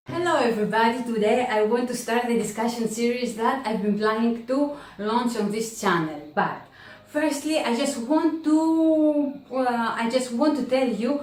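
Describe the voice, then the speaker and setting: In a Greek accent, a woman talks at a fairly slow pace in a high pitch with ordinary pitch variation. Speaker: book vlogger. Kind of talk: casual talk to camera.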